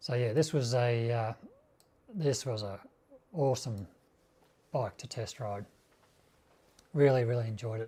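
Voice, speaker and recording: Long, frequent pauses break up a somewhat breathy voice with a dark, mellow tone in an Australian accent. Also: man, medium pitch for a man, ordinary pitch variation, fairly slow pace. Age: 60s. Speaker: motorcycle YouTuber. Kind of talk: live stream chat. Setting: home garage live stream. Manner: halting; casual.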